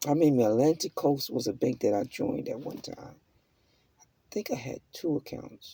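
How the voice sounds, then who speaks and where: Big swings in loudness mark this somewhat breathy voice, which moves at a moderate pace with lively intonation. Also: man. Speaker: self-help vlogger. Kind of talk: motivational monologue.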